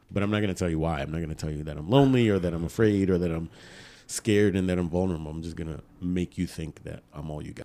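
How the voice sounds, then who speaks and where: A man's very deep, low voice with a dark, mellow tone, ordinary pitch variation and a very fast pace. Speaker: podcast co-host. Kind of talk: casual chat.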